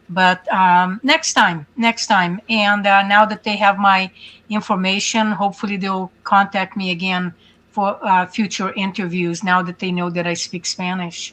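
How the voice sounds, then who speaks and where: With a Hungarian accent, a woman speaks fairly slowly at medium pitch, her tone bright and sharp and her intonation fairly even. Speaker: angel mom activist. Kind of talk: interview. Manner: halting.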